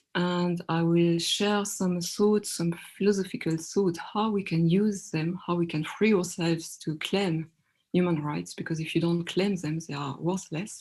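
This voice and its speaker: In a French accent, a woman speaks at a fairly low pitch and a fairly slow pace. Her intonation is fairly even, against a quiet background. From France. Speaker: workshop moderator. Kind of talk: online panel discussion.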